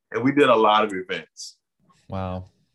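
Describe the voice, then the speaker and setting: A man talks in a normal speaking voice with ordinary pitch variation. His pace is fairly slow. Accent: American. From Miami, Florida. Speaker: playwright, filmmaker and community organizer. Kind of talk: casual interview.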